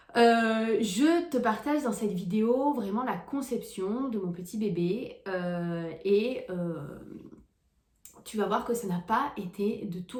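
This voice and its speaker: Audible room echo surrounds a woman with a fairly high, somewhat breathy voice. Her pitch varies in an ordinary way. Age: 20s. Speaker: vlogger. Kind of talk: personal vlog storytelling. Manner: hesitant, many fillers.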